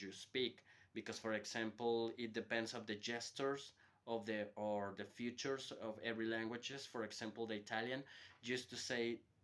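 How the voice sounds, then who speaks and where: The voice has a Spanish accent, monotone, flat intonation and a moderate pace. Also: man. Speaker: hotel worker giving a language lesson. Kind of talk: informal lecture to students. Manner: hesitant, with repetitions and fillers.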